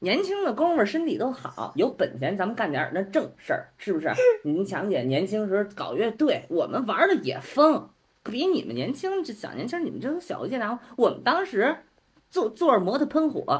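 Pitched extremely high, a man talks at a moderate pace with very wide pitch swings. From Beijing. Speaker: podcast guest. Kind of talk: casual chat.

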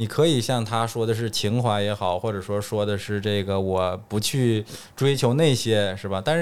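A northeastern Chinese accent in a very clean recording with a silent background. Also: man. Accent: Northeast Chinese. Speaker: dentist. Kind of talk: casual chat.

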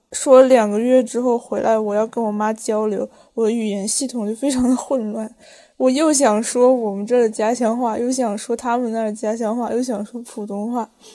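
In a very clean recording with a silent background, a woman speaks at a moderate pace in a fairly high pitch, her dark, mellow tone delivered in a flat monotone. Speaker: podcast co-host. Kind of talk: casual chat.

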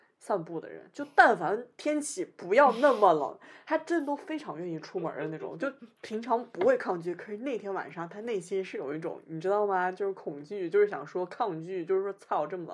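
A woman with a northern Chinese accent talks at a fairly quick pace, her medium-pitched voice making very wide pitch swings. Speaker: podcast co-host. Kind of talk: casual chat. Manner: animated storytelling.

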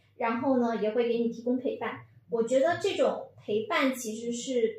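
A moderate pace with audible room echo. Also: woman. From Fujian. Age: 30s. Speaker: PR professional, former journalist. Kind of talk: casual chat.

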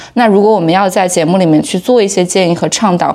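A woman at fairly low pitch, very fast pace, noticeable background noise. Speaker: podcast co-host. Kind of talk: interview.

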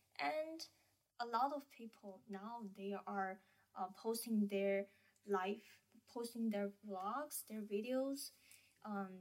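At a very slow pace, a woman of medium pitch speaks with a Chinese accent. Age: 20s. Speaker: university student. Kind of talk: casual chat. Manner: hesitant.

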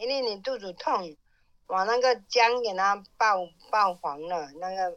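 A woman speaks at a fairly slow pace in a southern Fujian accent. Her intonation is lively. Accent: Minnan. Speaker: host's mother. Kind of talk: casual chat.

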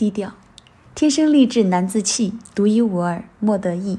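A woman speaks at medium pitch and a fairly slow pace. Her voice is somewhat breathy with a dark, mellow tone and lively intonation. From Chongqing, China. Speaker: stand-up comedian. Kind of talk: scripted podcast monologue.

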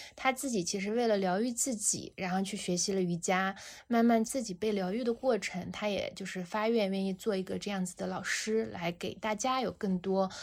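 In a calm tone and at a moderate pace, a woman of medium pitch speaks with fairly even intonation on a very clean recording with a silent background. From Xinjiang, China. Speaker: founder of a meditation brand. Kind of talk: casual interview.

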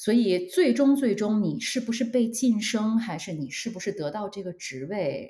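A woman with a fairly high, somewhat breathy voice talks at a moderate pace with hardly any pauses, very wide pitch swings and big swings in loudness. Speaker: marketing manager. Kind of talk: casual interview. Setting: online call. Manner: hesitant with fillers.

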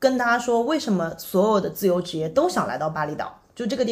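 Somewhat breathy, a woman's voice moves along at a fairly brisk clip. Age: 30s. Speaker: digital nomad and content creator. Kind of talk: casual chat.

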